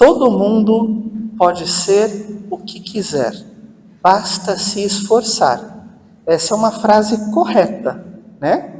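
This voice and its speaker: Amid noticeable background noise and audible room echo, a man with a high pitch speaks at a very slow pace, with big swings in loudness and long, frequent pauses. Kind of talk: parish talk to an audience. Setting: hall with audience, using microphone.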